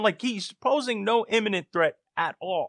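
In a raised, projected voice with a bright, sharp tone and very wide pitch swings, a man speaks in a dry, close sound with no echo against a quiet background. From US, Puerto Rican descent. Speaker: podcast co-host. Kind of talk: casual chat.

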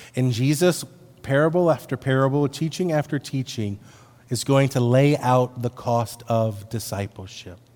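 A man speaks at a moderate pace and medium pitch. His voice is unremarkable, with ordinary pitch variation. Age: 50s. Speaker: pastor. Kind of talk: sermon.

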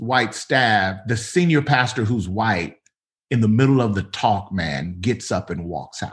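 A man with an American accent speaks at a medium pitch with lively intonation. His voice is somewhat breathy. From US South, Mississippi. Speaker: pastor. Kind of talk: casual interview conversation.

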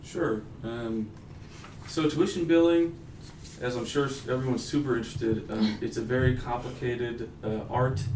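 A man's medium-pitched voice in an American accent, at a moderate pace with ordinary pitch variation, plus audible room echo and noticeable background noise. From Texas, Denton. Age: 20s. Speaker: university customer service manager and graduate student. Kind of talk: interview. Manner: casual, frequent filler 'um'.

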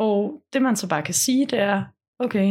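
A somewhat breathy quality runs through the voice. The pace is moderate. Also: woman. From Denmark, Funen (Munkebo). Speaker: documentary film director. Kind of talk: casual interview. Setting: at home.

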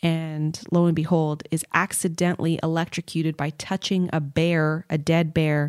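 Delivered at a fairly slow pace, this is an ordinary speaking voice. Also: woman. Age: 30s. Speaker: podcast host and YouTuber. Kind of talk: casual chat.

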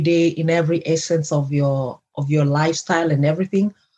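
Her voice fairly low in pitch, a woman talks with a somewhat breathy quality. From Kenya. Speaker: life coach and podcast host. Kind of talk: casual interview chat.

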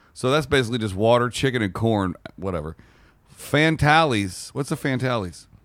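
Over a very clean recording with a silent background, a man has an ordinary speaking voice, medium in pitch, with lively intonation at a moderate pace. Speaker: podcast co-host. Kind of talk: casual banter, comedic podcast chat. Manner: playful, joking.

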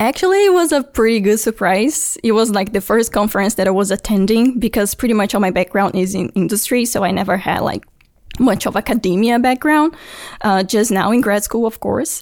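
A woman with a Brazilian accent talks at a fairly quick pace in a fairly high voice, with ordinary pitch variation and very even loudness. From Brazil (Brasilia). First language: Portuguese. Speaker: engineering graduate student. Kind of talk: interview.

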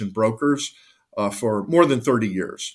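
In a very clean recording with a silent background, a man speaks with an American accent. He uses an ordinary speaking voice at a moderate pace. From northeastern Ohio (Cleveland). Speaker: lawyer. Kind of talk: interview. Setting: call.

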